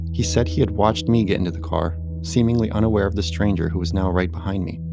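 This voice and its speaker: Music plays in the background as a man with a very deep, low pitch talks at a very fast pace with lively intonation. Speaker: horror story narrator. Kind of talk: horror story narration.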